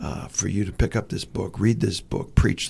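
The man's voice sounds somewhat breathy. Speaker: podcast host and seminary teacher. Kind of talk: interview. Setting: studio.

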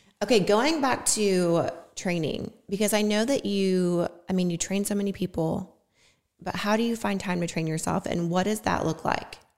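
A woman with a medium pitch and an ordinary speaking voice talks at a moderate pace with ordinary pitch variation. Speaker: podcast host, fitness influencer. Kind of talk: casual interview chat. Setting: video podcast recording.

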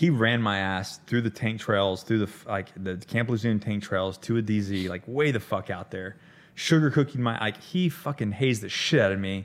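A man with an American accent has an unremarkable speaking voice, a fairly low pitch and ordinary pitch variation. He talks at a moderate pace on a very clean recording with a silent background. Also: hardly any pauses. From US South, Florida Panhandle. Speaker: Marine special operations veteran and author. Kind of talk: casual chat.

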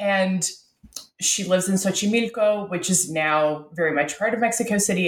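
A woman with a Canadian accent uses a normal speaking voice at medium pitch, with lively intonation and a moderate pace. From Canada, Ottawa. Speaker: professor. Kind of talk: interview.

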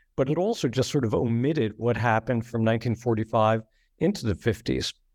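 Over a quiet background, a man with an unremarkable speaking voice talks at medium pitch and a moderate pace, in a dry, close sound with no echo. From central New Jersey. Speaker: author and journalism professor. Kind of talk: interview.

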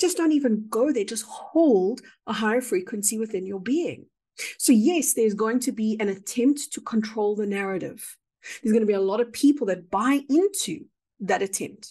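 A woman's fairly high, somewhat breathy voice with a dark, mellow tone at a moderate pace against a quiet background. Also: lively intonation. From South Africa. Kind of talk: interview about spiritual experiences.

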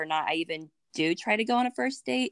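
A woman with an unremarkable speaking voice talks at a moderate pace and medium pitch, in a dry, close sound with no echo. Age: 20s. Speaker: graduate student and military member. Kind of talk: casual chat.

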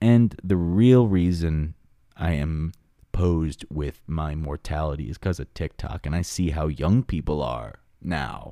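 A man with an American accent, very deep and low-pitched, dark and mellow in tone, with lively intonation at a fairly slow pace, on a very clean recording with a silent background. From Long Island, New York. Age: 20s. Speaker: YouTube animation creator and podcaster. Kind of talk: casual solo monologue, rambling chat. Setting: home, headphones on. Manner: animated, jokey, filler-heavy.

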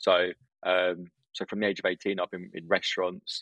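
With a southern English accent, a man is speaking. His pace is moderate. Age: 20s. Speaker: restaurant owner. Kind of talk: casual interview.

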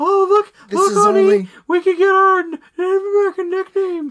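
In a put-on character voice, the speaker squeaks at an extremely high pitch and a moderate pace. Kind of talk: casual, talking to honey. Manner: mocking, gushing.

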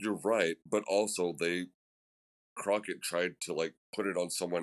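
A man with an American accent, a very deep, low pitch, fairly even intonation, and a moderate pace. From Missouri, US Midwest. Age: 40s. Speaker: punk musician. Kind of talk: casual chat.

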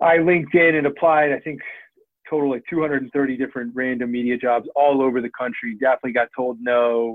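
A man talks at a fairly quick pace in a plain, everyday voice, medium in pitch with fairly even intonation. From Washington DC. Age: 30s. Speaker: podcast network founder and former sports journalist. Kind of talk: interview conversation.

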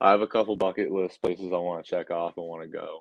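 A man with an American accent at a very fast pace. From Massachusetts, near Worcester. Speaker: professional baseball pitcher. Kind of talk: interview.

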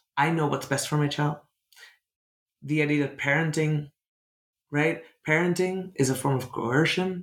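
A man's somewhat breathy voice, fairly high in pitch, with fairly even intonation at a moderate pace. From Netherlands. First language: Dutch. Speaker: author and writer.

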